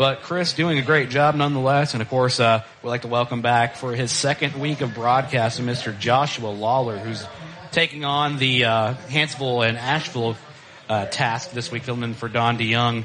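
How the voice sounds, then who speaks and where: A man speaks at a moderate pace with fairly even intonation. Noticeable background noise sits behind him. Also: medium pitch for a man. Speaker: high school football play-by-play announcer. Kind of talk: live sports commentary. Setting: broadcast booth at stadium.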